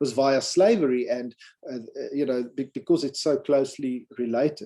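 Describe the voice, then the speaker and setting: A man's dark, mellow voice with lively intonation at a fairly quick pace. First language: not English. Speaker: academic conference presenter. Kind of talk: conference paper presentation.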